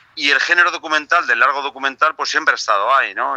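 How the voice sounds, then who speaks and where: Heard with no echo, a man comes through in a dry, close sound. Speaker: film director and producer. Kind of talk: phone interview.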